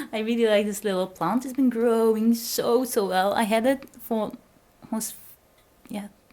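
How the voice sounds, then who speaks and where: With a Dutch accent, a woman speaks at a fairly high pitch and a moderate pace, her intonation fairly even. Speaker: PhD student vlogger. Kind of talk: home tour vlog. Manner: casual, with fillers.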